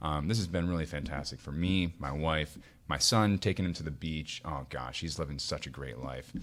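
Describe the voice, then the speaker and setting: Spoken at a moderate pace with an American accent, the voice has vocal fry and ordinary pitch variation. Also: man, very deep, low pitch for a man. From US Midwest (Iowa). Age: 20s. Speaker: podcaster, guest. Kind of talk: casual chat. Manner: animated.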